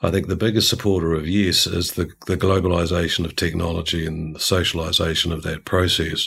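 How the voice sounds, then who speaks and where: Delivered at a fairly quick pace in a New Zealand accent, the speech is monotone and flat, on a very clean recording with a silent background. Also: man, very deep, low pitch for a man. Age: 50s. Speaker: organizational culture consultant. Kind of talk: interview.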